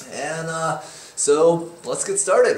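Audible room echo hangs around a man's speaking voice. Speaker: welding instructor. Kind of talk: tutorial. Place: workshop. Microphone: camera far.

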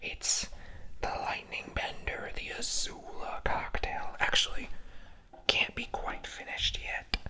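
Soft-spoken and whispering, the voice moves at a very slow pace. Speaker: bartender video host. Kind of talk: casual tutorial chat. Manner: soft ASMR whisper. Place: bar.

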